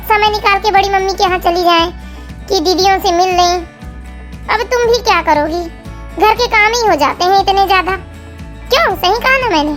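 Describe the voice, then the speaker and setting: Over clear background music, a woman uses a put-on character voice at an extremely high pitch. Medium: audio drama. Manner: lecturing, insinuating.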